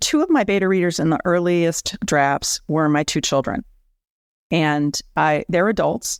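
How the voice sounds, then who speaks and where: A woman speaks fairly slowly at a fairly low pitch, with ordinary pitch variation and very even loudness, in a plain, everyday voice. The recording is very clean with a silent background and a dry, close sound with no echo. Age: 60s. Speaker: author. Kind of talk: interview.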